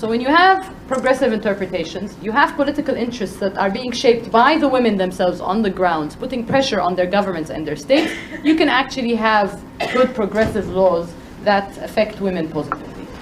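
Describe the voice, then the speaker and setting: The speech comes at a fairly quick pace with lively intonation, over noticeable background noise. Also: woman. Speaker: panel speaker, women's rights advocate. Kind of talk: panel talk. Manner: loud.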